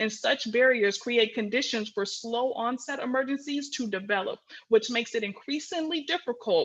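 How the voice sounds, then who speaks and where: A woman speaks at a fairly high pitch with lively intonation. The background is quiet. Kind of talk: webinar presentation. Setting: video call. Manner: fast.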